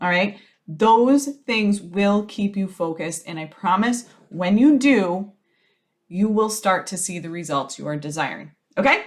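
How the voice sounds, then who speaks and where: Her loudness swings widely as a woman talks fairly slowly in a normal speaking voice of medium pitch, with lively intonation. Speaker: business strategist podcast host. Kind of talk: solo podcast advice monologue. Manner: casual, conversational.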